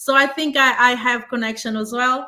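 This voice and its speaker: A woman's raised, projected voice, high in pitch, moderate in pace, on a very clean recording with a silent background. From Portugal. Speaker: discussion panelist. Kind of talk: casual discussion. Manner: halting.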